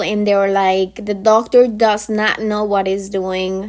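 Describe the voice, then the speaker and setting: Speaking at a very slow pace, a woman uses a medium pitch. Her delivery stays unhurried throughout. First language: not English. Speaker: pharmacy technician educator. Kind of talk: informal lecture. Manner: halting.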